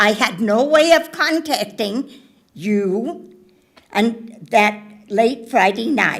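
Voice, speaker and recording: The speech goes at a very slow pace with lively intonation. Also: woman. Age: 80s+. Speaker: member of the public giving comment. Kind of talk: public comment at board meeting. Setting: public board meeting.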